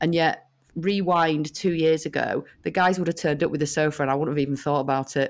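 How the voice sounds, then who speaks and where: A woman with a British accent speaks at a fairly quick pace, her pitch fairly low. The recording is very clean, with a silent background. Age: 40s. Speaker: head of marketing at a food brand. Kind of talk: interview conversation.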